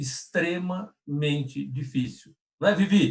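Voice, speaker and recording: A man talks at a very slow pace. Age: 60s. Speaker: personal development trainer. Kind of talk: live stream discussion. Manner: halting, many repetitions.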